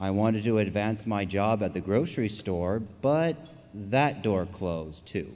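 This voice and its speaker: Using a normal speaking voice, a man talks at a fairly slow pace with a fairly low pitch and ordinary pitch variation. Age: 20s. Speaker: pastry chef and small business owner. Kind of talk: prepared speech. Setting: stage with audience. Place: stage. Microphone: podium.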